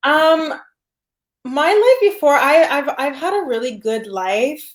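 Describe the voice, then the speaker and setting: A woman speaks at a very slow pace in a high pitch. Her pitch swings very widely. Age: 20s. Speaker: flight attendant and online business owner. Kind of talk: interview. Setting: live video call.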